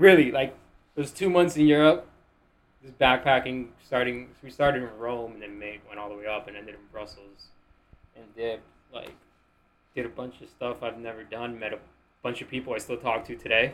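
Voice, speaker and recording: With a Miami accent, the speaker keeps a moderate pace with long, frequent pauses, big swings in loudness and ordinary pitch variation. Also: man, medium pitch for a man. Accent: American, Miami. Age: 20s. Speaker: podcast guest, finance-minded entrepreneur. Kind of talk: casual chat.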